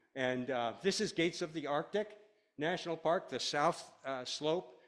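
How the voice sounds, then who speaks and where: With an American accent, a man talks at a moderate pace in a fairly high pitch with ordinary pitch variation. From Washington State (Orcas Island). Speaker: wildlife ecologist. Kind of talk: lecture. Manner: loud.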